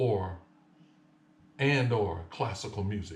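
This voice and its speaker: Audible room echo surrounds the recording. A man talks at a fairly low pitch with ordinary pitch variation. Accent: Louisiana. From US South, Lake Charles, Louisiana. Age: 60s. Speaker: piano teacher. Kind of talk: tutorial.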